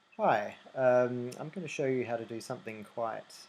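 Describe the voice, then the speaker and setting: A man is speaking. He has an Australian accent. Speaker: website tutorial maker. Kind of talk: screen-recording software tutorial. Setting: low recording volume. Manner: hesitant, many fillers.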